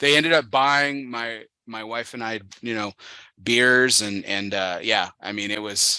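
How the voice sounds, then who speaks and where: Against a quiet background, a man with an American accent speaks at a fairly slow pace in a bright, sharp tone, his pitch medium with ordinary variation. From Texas, El Paso. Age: 30s. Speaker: podcast host. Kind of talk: casual chat. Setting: studio.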